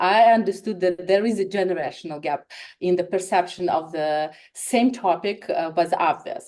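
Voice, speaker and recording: This woman has a dark, mellow tone at medium pitch, speaking at a moderate pace with ordinary pitch variation. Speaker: marketer presenter. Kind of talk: conference presentation.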